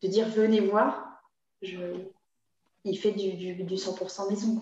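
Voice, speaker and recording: A woman speaks at a fairly slow pace, her medium-pitched voice carrying fairly even intonation. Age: 30s. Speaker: community manager. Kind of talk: interview. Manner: halting, many repetitions and fillers.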